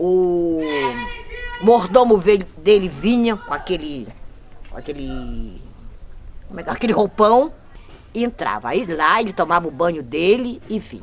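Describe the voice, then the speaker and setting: Over noticeable background noise, a woman with a medium pitch speaks at a fairly slow pace, with very wide pitch swings, big swings in loudness and long, frequent pauses. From Brazil, Cabo Frio (RJ). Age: 60s. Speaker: longtime local resident. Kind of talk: documentary interview testimony. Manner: halting, with false starts.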